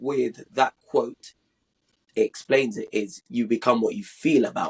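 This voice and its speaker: Somewhat breathy and fairly high-pitched, a man speaks at a fairly slow pace with very wide pitch swings, the sound dry and close with no echo. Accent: British. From London, England. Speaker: podcast guest. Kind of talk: casual interview.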